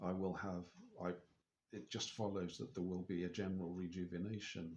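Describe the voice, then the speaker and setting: With an English accent, a man with a very deep, low pitch speaks at a fairly quick pace and fairly even intonation. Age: 60s. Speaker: spiritual vlogger. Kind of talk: personal video diary. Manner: halting.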